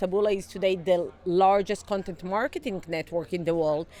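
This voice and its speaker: The speaker has a non-native accent. The pace is fairly quick. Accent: noticeable non-native. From outside the US. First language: not English. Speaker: tech startup CEO. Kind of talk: interview. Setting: conference event.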